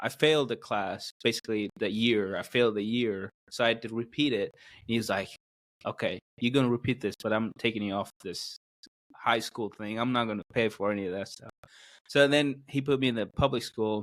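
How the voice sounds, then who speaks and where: In an Indian accent, a man speaks at a medium pitch and a fairly quick pace, with fairly even intonation but big swings in loudness. The recording is very clean with a silent background and a dry, close sound with no echo. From South India. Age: 20s. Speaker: podcast guest, video producer. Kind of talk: casual interview. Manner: halting, many fillers.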